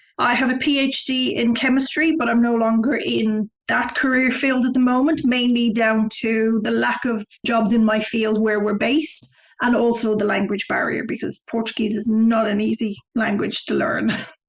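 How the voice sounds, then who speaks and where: With a Dublin accent, a woman speaks at a fairly high pitch, her loudness very even and her intonation fairly even. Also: moderate pace. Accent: Irish (Dublin). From Ireland, Dublin; early childhood in southern Africa. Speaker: travel website founder. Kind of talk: interview.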